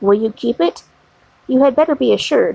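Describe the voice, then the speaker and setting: A woman speaks at a fairly quick pace in a put-on character voice. It sits at a high pitch. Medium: read story. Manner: calm, measured, foreign-tinged phrasing.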